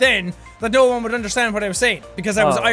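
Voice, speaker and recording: Music plays in the background as a man talks. He has an extremely high pitch and speaks with an Irish accent. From Ireland.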